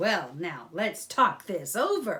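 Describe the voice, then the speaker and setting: A put-on character voice, female-sounding and fairly high in pitch. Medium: read story. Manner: pompous.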